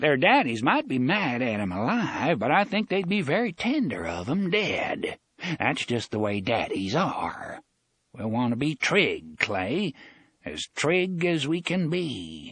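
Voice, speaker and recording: A put-on character voice, shrill and shaky, at a fairly slow pace with very wide pitch swings. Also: man, fairly high pitch for a man. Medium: read story. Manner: drawling, sly, folksy.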